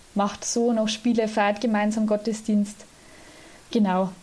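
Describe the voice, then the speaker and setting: A woman's fairly high voice comes across somewhat breathy, with a dark, mellow tone. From Lower Bavaria, Germany. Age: 20s. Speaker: student and church volunteer, organist. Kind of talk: interview.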